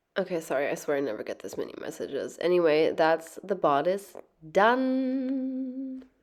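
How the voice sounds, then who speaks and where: Speaking at a moderate pace, a woman with a medium-pitched voice moves through very wide pitch swings. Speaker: sewing youtuber. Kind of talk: tutorial. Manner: casual, filler-heavy.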